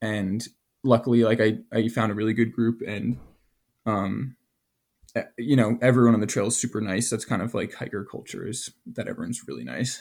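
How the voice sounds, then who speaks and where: With an American accent, a man in a normal speaking voice talks at a fairly quick pace, his medium pitch and intonation fairly even. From US Northeast, New Jersey. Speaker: college student, long-distance hiker. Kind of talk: interview. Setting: remote call from the trail.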